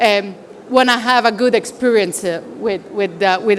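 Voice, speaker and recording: A woman with an Italian accent speaks at a fairly slow pace with fairly even intonation. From Italy. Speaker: consultant at a professional services firm. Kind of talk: conference presentation. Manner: halting, many fillers.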